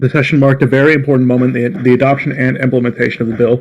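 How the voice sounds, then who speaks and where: At a very fast pace, a man speaks at medium pitch in a monotone, flat way. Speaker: press secretary in a role-play government. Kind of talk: press briefing read from a script.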